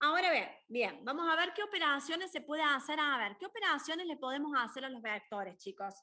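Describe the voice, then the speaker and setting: A woman speaks in a high, raised and projected voice with a bright, sharp tone, moving at a fairly quick pace with lively intonation and hardly any pauses. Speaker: university maths tutor. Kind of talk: lecture. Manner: animated.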